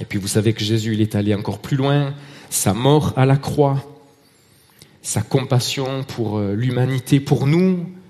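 A man talks at a very slow pace with ordinary pitch variation. Long, frequent pauses break up his speech. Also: medium pitch for a man. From Marseille, southern France. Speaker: lay preacher. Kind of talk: sermon. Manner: hesitant, with repeated words and fillers.

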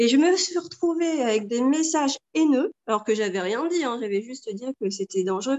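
Her high voice barely pauses as the woman talks at a moderate pace. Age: 40s. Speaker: mother giving testimony. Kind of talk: testimony. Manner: halting, many repetitions and fillers.

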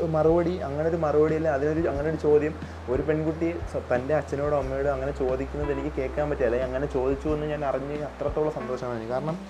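A man speaks with audible room echo. Noticeable background noise runs underneath. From Kerala, Thiruvananthapuram district. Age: 20s. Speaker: podcaster. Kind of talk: solo podcast monologue. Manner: halting, self-correcting.

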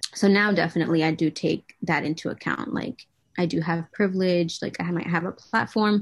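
A woman with an American accent speaks at a fairly quick pace in a normal speaking voice, her pitch fairly low and her intonation fairly even, over a quiet background. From New England, US. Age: 20s. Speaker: social media advocate. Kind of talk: interview. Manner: casual, many fillers.

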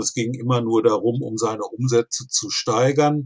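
At a very slow pace, a man speaks with fairly even intonation and a medium pitch. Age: 60s. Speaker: finance blogger and coach. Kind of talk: podcast interview.

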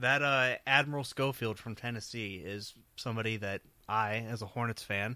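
A man's bright, sharp tone sits at a medium pitch with fairly even intonation on a very clean recording with a silent background. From northeast Ohio (Warren). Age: 20s. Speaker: college radio sports co-host. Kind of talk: casual chat. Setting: studio.

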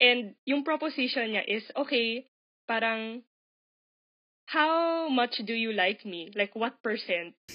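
Speaking with a Filipino accent, a woman has a fairly high pitch and lively intonation. Her pace is very slow, with long, frequent pauses. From Philippines. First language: Tagalog. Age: 20s. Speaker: podcast guest. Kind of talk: casual chat.

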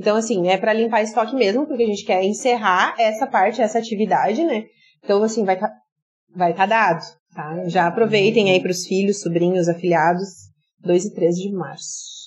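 A woman speaks at medium pitch and a moderate pace. Her voice is somewhat breathy, with ordinary pitch variation. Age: 30s. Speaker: influencer and entrepreneur, former teacher. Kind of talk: podcast interview.

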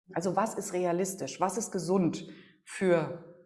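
A woman's fairly low voice has a dark, mellow tone, with audible room echo around it. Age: 40s. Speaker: negotiation expert and emotion coach. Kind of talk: podcast interview.

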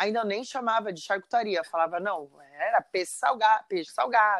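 On a very clean recording with a silent background and a dry, close sound with no echo, a woman speaks in a plain, everyday voice, fairly high in pitch, with lively intonation. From Brazil, São José dos Campos, São Paulo state. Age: 40s. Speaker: chef. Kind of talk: casual interview.

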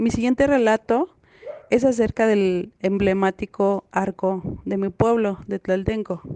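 A woman uses a normal speaking voice at medium pitch and a fairly slow pace. The sound is dry and close, with no echo. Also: fairly even intonation. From Mexico City, Tláhuac. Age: 30s. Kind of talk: storytelling.

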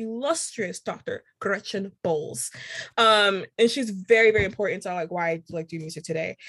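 With an American accent and a normal speaking voice, a woman talks at a moderate pace and medium pitch, her pitch varying in an ordinary way while her loudness swings widely. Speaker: composer. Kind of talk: casual interview chat.

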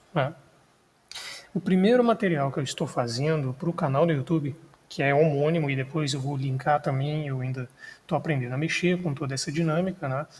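A man's somewhat breathy, fairly high-pitched voice at a fairly quick pace, with ordinary pitch variation. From Brazil, Minas Gerais. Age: 20s. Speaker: podcast host, history student. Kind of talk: solo podcast monologue. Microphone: non-professional recording equipment.

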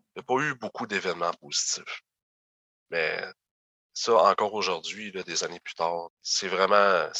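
A man talks at a fairly slow pace with long, frequent pauses. The sound is dry and close with no echo. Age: 30s. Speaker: former youth protection placement survivor. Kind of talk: interview testimony.

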